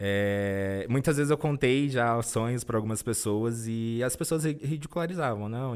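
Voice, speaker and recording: This man has an ordinary speaking voice, medium in pitch with ordinary pitch variation, and he talks at a fairly slow pace. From interior of São Paulo state, Brazil. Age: 20s. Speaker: corporate trainee. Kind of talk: interview.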